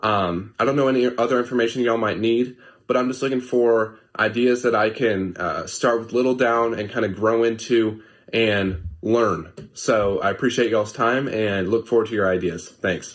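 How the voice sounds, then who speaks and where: A man with an American accent talks at a moderate pace and medium pitch. His intonation is fairly even, and the background is quiet. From Alabama, US South. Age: 20s. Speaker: listener sending a voice message. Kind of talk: recorded voice message.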